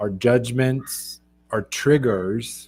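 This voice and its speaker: Music plays behind the speaker, a man. His pitch varies in an ordinary way. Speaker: leadership coach, livestream host. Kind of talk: motivational livestream talk.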